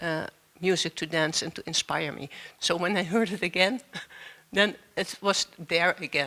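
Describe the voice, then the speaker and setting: A woman's bright, sharp voice with a Dutch accent and fairly even intonation. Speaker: dancer. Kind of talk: panel discussion. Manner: halting, searching for words.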